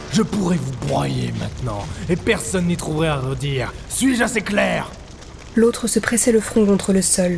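Music plays in the background as the speaker delivers lines at a moderate pace in a dramatic tone. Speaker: audiobook narrator. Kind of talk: audiobook reading of serialized fiction. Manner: narrator voice, steady and dramatic; shifts to menacing, imperious tone for the politician's lines.

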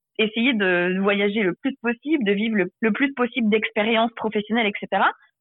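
A plain, everyday voice at a moderate pace with lively intonation. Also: woman. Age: 20s. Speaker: author and social media creator. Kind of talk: interview.

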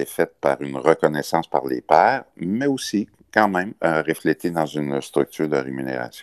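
Speaking with a Quebec accent, a man with a very deep, low pitch talks at a moderate pace with ordinary pitch variation. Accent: Québécois French. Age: 60s. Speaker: business association leader. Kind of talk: interview. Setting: remote call.

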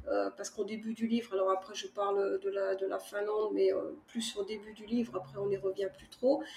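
Hardly pausing, a woman at medium pitch talks at a fairly quick pace with ordinary pitch variation and big swings in loudness. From France, Charente (Cognac). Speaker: author. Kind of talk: casual interview. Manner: halting, many fillers and repetitions.

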